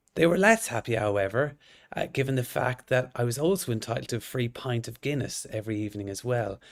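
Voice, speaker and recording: At a very fast pace, a man with an Irish accent and medium pitch speaks with ordinary pitch variation on a very clean recording with a silent background. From northwest Ireland (County Sligo). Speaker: orthodontist and lecturer. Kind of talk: lecture.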